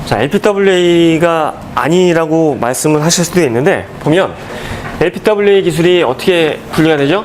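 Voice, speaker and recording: A high-pitched man with ordinary pitch variation and very even loudness, amid noticeable background noise and audible room echo. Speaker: exam prep lecturer. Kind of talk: lecture. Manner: fast.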